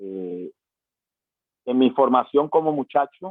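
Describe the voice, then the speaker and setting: The speaker is a man at a fairly slow pace. His pitch variation is ordinary. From Panama. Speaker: pastor. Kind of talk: testimony. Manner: halting, many fillers.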